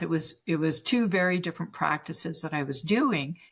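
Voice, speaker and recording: This woman has an unremarkable speaking voice, with a Canadian accent, a fairly low pitch and a moderate pace. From Canada. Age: 60s. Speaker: spiritual teacher and healer. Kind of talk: podcast interview.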